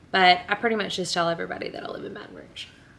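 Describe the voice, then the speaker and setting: A woman with a Louisiana accent speaks at a medium pitch, her bright, sharp tone rising and falling in an ordinary way. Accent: Southern US (Louisiana). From northern Louisiana (Benton). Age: 20s. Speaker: beauty vlogger and teacher. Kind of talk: makeup tutorial. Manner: casual, chatty.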